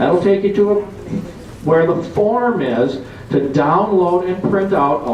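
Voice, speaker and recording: A man's voice carries audible room echo, and noticeable background noise is present too. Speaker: political activist. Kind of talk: convention talk.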